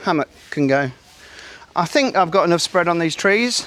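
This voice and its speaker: This man has a high-pitched voice with an English accent. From England. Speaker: camping and fishing vlogger. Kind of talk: tutorial. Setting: outdoors. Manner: casual, halting with fillers.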